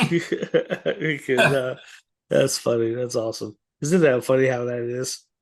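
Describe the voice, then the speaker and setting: Speaking at a fairly slow pace, a man uses an ordinary speaking voice at a medium pitch. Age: 50s. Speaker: podcast host. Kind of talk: interview.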